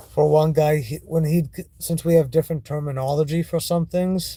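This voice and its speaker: The voice has a dark, mellow tone and is somewhat breathy, with a Maine accent. It moves at a moderate pace. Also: man. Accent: American (Maine). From Maine, US. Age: 40s. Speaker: vlogger. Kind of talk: casual vlog monologue. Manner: halting, with restarts.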